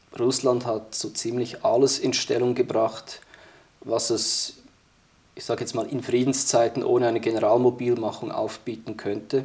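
Speaking at a moderate pace, a man holds a medium pitch with a monotone, flat intonation. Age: 30s. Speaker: military historian and security policy expert. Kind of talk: interview discussion.

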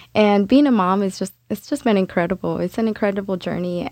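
A woman with an ordinary speaking voice talks at a fairly quick pace and a medium pitch, with ordinary pitch variation, in a very clean recording with a silent background and a dry, close sound with no echo. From Mexico, raised in US from first grade. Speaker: community parent advocate. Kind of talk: interview. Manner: frequent laughter.

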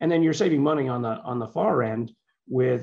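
This man has a medium pitch with vocal fry and ordinary variation in pitch. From born in Liverpool, England, moved to US as child. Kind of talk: interview.

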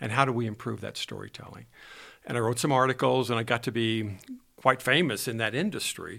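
A man talks at a fairly quick pace in a medium pitch, with vocal fry and fairly even intonation. The recording is very clean, with a silent background. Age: 70s. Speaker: business owner and engineering firm founder. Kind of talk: interview answers, conversational.

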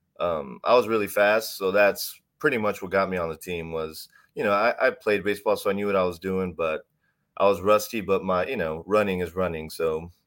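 A man talks fairly quickly in a normal speaking voice, fairly low in pitch with ordinary pitch variation. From Texas, Houston area. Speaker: CrossFit athlete. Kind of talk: casual interview.

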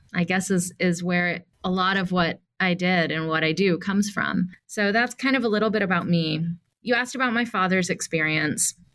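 With an American accent, a woman of medium pitch speaks in a normal speaking voice at a moderate pace, with very even loudness, ordinary pitch variation and hardly any pauses. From US South, Atlanta, Georgia. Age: 40s. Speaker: nonprofit CEO and activist. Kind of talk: interview.

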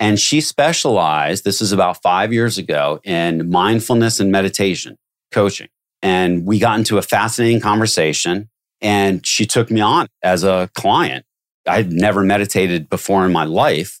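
In an ordinary speaking voice at a moderate pace, the speaker uses ordinary pitch variation and very even loudness, with a dry, close sound with no echo on a very clean recording against a silent background. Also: man, fairly low pitch for a man. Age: 50s. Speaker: recruiting business development executive. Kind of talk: interview conversation.

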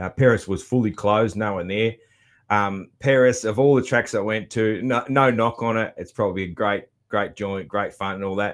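Very clean and silent in the background, this recording has a man with an Australian accent and a fairly low pitch. He talks at a moderate pace with fairly even intonation. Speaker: podcast host. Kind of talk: casual monologue recap. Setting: home studio. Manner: halting, many fillers.

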